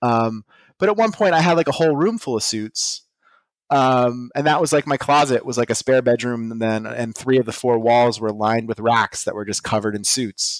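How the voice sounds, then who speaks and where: In a very clean recording with a silent background and a dry, close sound with no echo, a man talks at a moderate pace in a normal speaking voice, medium in pitch with ordinary pitch variation. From Pittsburgh area, Pennsylvania. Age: 30s. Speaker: vintage clothing dealer. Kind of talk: casual interview. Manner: many fillers and restarts.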